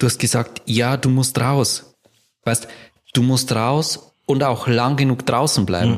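Very slowly and with very even loudness, a man speaks at a medium pitch with fairly even intonation. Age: 40s. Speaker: company founder and managing director. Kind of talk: casual interview.

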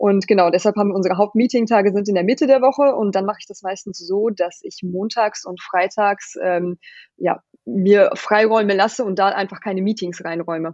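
A woman with an ordinary speaking voice at medium pitch talks at a fairly quick pace with ordinary pitch variation. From Germany. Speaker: company founder. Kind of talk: interview. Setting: home office.

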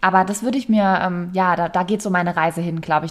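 This is a woman speaking. Her pitch is medium. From Palatinate, Germany. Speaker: yoga and meditation teacher. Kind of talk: casual interview.

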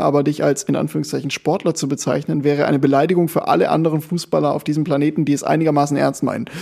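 Very fast delivery with fairly even intonation. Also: man. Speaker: amateur football podcast host and club coach. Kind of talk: casual chat. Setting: recording at co-host's home.

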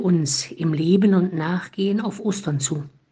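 A woman speaks at a fairly low pitch in a calm tone. Her voice is somewhat breathy. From Thuringia, Eichsfeld region (eastern Germany). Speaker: Franciscan nun giving a morning devotion. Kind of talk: scripted spiritual reflection. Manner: calm, measured.

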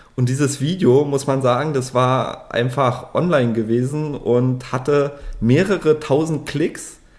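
This man has an unremarkable speaking voice, fairly high in pitch, and his loudness stays very even throughout. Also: fairly even intonation, fairly slow pace. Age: 30s. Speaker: 3D printing service provider, company director. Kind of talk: casual chat.

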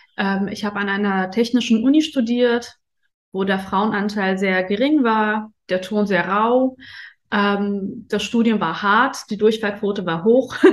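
Over a quiet background, a woman of medium pitch speaks at a fairly slow pace with fairly even intonation. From Afghanistan, raised in Germany from age ten. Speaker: interview guest on luxury and spirituality. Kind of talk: casual interview. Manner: hesitant, many fillers.

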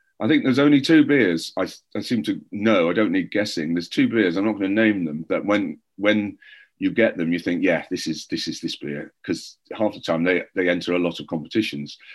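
Against a quiet background, a man in a Welsh accent talks at a fairly quick pace. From North Wales. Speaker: beer writer and judge. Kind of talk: casual chat.

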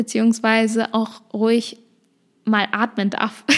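A woman speaks with a fairly high pitch. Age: 20s. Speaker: podcast host. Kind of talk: casual monologue. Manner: fast.

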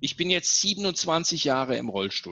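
A man with vocal fry speaks at a fairly high pitch, using very wide pitch swings. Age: 50s. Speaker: leadership speaker and author. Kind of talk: interview. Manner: animated.

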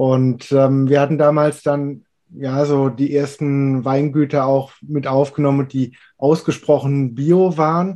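A man's fairly high-pitched voice with a dark, mellow tone, monotone, flat intonation, very even loudness, a very slow pace and hardly any pauses, against a quiet background. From Palatinate, Germany. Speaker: wine podcast host. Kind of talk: casual chat.

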